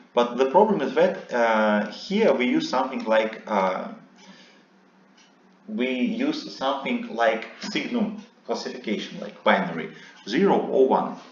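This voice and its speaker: Amid audible room echo, a man talks fairly slowly at a fairly high pitch with very wide pitch swings. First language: non-English. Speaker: seminar instructor. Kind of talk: lecture. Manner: halting, many fillers.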